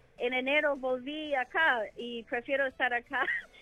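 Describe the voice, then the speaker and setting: The speaker is a woman. Her words come with an English accent. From United States. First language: English (speaking Spanish). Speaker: wine sales manager. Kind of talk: interview. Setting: phone call. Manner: hesitant.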